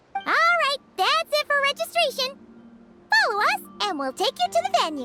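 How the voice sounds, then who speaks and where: A squeaky, extremely high put-on character voice with very wide pitch swings at a moderate pace, faint music in the background. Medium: machinima. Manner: eager, excitable.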